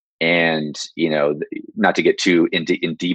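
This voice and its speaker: Speech at a moderate pace with an American accent, recorded dry and close with no echo. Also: man. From San Jose, California. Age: 30s. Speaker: former police officer and fitness coach. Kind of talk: interview.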